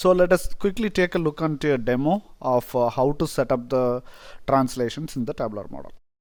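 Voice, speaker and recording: A man with a Tamil accent speaks at a moderate pace with ordinary pitch variation on a very clean recording with a silent background. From India, Tamil-speaking. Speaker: software tutorial presenter. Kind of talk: tutorial. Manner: hesitant, many fillers.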